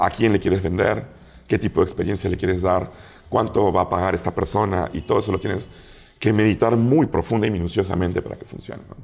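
A man talks in a plain, everyday voice at a fairly quick pace with fairly even intonation. The recording is very clean, with a silent background. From Peru. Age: 40s. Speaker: food critic and TV show judge. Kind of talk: casual interview chat.

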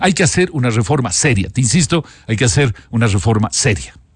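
A man's medium-pitched voice with vocal fry and very wide pitch swings, in a dry sound with no echo over a quiet background. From Ecuador. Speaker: economist; guest. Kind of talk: interview. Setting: studio. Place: studio. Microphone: studio mic.

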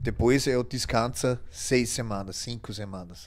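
A man speaks with vocal fry. His pitch varies in an ordinary way. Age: 60s. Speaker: bodybuilding coach and former competitor. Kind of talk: casual interview. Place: studio. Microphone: studio mic.

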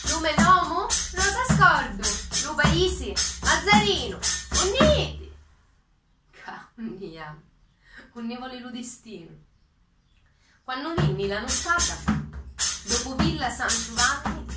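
A woman with a Sicilian accent at a very slow pace, long, frequent pauses and big swings in loudness, over loud background noise. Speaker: PhD student. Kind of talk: poetry reading. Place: home room. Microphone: phone near.

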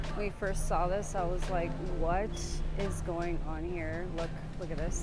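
A woman's voice, dry with no echo, over loud music in the background. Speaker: travel vlogger. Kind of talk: casual vlog chat. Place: shop. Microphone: lapel.

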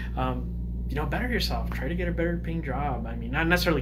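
Very fast speech from a man amid noticeable background noise. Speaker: YouTuber giving opinion. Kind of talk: casual monologue commentary. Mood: calm, opinionated. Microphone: phone near.

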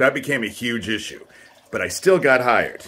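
Over light background noise, a man speaks with very wide pitch swings. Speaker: vlogger telling personal grievances. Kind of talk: casual vlog monologue. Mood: aggrieved, accusatory. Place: home room. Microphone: phone near.

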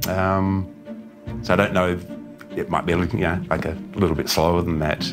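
A man's very deep, low voice at a moderate pace, with long, frequent pauses and clear music playing behind him. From Australia. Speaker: ultra runner. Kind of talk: interview answer. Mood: modest, reflective, smiling. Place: home room.

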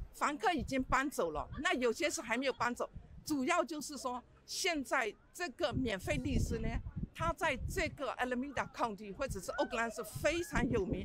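The speech has a moderate pace and a dry sound with no echo, with noticeable background noise present. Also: woman, high pitch for a woman. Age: 60s. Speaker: retired small landlord. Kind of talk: street interview. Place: street. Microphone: handheld.

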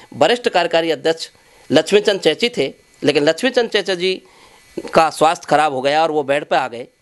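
A high-pitched male voice at a moderate pace, with ordinary pitch variation. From Rajasthan, Bharatpur district; Rajasthan. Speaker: community organisation leader. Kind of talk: interview. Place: home room. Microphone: handheld.

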